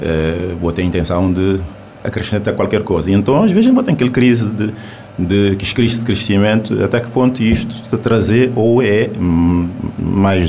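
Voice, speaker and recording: Through audible room echo and noticeable background noise, a man speaks at a fairly slow pace with a fairly low pitch and ordinary pitch variation. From Cape Verde. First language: Cape Verdean Creole (speaking Portuguese). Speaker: poet. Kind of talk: radio interview. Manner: halting.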